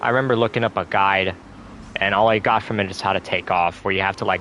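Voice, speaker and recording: A man's fairly low voice at a fairly quick pace amid noticeable background noise. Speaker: gaming streamer. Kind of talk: casual chat. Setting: live stream. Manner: stutters at times; halting.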